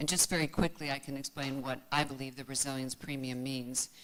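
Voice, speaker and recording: A woman speaks with an American accent. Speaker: finance expert, former head of research. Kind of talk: panel discussion.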